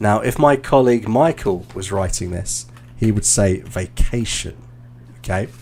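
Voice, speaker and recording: At a fairly slow pace, a man with a British accent talks with ordinary pitch variation. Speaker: English teacher and exam coach. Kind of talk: live stream feedback session. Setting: video call. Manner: halting.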